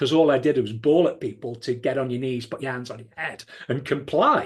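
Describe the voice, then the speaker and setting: Somewhat breathy, a man with a British accent and a medium pitch talks at a fairly quick pace, with ordinary pitch variation and big swings in loudness. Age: 60s. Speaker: podcast co-host, former police firearms officer. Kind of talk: conversational podcast discussion.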